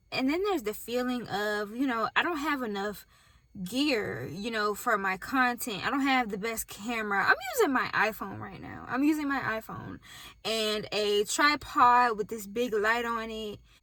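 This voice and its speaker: Noticeable background noise accompanies this recording. A woman with a fairly high pitch speaks at a moderate pace. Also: ordinary pitch variation. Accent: slight Southern US. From US South. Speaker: YouTuber starting a business. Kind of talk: casual vlog talk to camera. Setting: in a car.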